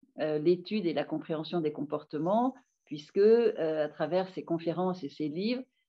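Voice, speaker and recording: A woman with a fairly low pitch speaks at a moderate pace. Her intonation is lively. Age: 60s. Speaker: doctor and author. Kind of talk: interview. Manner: hesitant, many filler sounds.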